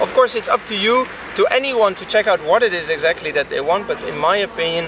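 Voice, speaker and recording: A high-pitched man talking at a very fast pace with lively intonation over noticeable background noise. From Netherlands, Leiden. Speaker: citizen journalist, biochemist. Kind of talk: spontaneous interview. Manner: halting, many repetitions and fillers.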